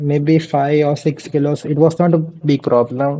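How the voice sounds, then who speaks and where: Speaking with an Asian accent, a man with a dark, mellow tone and fairly high pitch talks at a fairly slow pace in a monotone, flat intonation. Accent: Asian-sounding English. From India. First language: Gujarati. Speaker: vtuber streamer. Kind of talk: casual chat.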